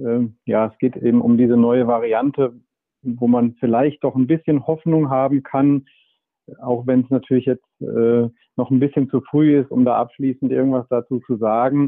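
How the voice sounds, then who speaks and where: A man at a medium pitch and moderate pace, monotone and flat in intonation, with very even loudness. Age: 40s. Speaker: medical doctor and author. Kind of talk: interview. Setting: remote connection.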